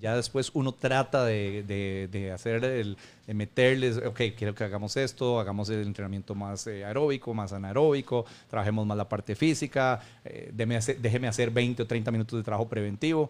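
With a normal speaking voice, a man keeps a medium pitch, fairly even intonation and a moderate pace. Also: very clean recording, silent background. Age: 40s. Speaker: football fitness coach. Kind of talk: casual interview. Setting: room with rain noise.

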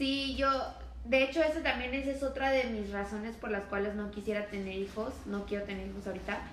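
Amid noticeable background noise and audible room echo, a woman with a fairly high pitch talks fairly quickly with ordinary pitch variation. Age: 20s. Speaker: podcast co-host. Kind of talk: casual chat.

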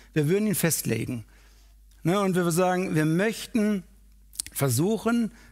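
On a very clean recording with a silent background, a man speaks fairly slowly at a high pitch in an animated, warm tone. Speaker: preacher. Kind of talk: sermon. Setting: church; livestream. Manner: animated, warm and persuasive, speaking directly to the congregation; conversational, with rhetorical questions such as "Ne?".

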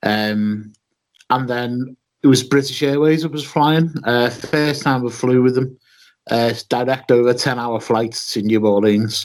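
The speaker talks at a fairly slow pace with a Liverpool accent and fairly even intonation. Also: man, medium pitch for a man. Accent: Scouse. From Liverpool, England. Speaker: wrestling podcaster. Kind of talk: casual chat.

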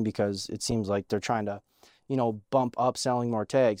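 A man with an American accent has a plain, everyday voice. He speaks at a fairly quick pace with fairly even intonation. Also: dry, close sound with no echo. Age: 20s. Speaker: podcast host. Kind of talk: casual chat.

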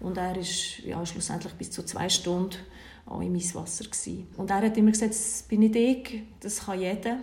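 With vocal fry and a medium pitch, a woman talks at a moderate pace in fairly even intonation, her loudness swinging widely amid audible room echo. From Switzerland, Bern. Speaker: cold-water bathing instructor and coach. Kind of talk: interview.

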